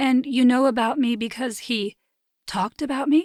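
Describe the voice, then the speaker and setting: A woman uses a put-on character voice at a high pitch with fairly even intonation. She speaks at a moderate pace in a dry, close sound with no echo. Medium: read story. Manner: guarded, reserved.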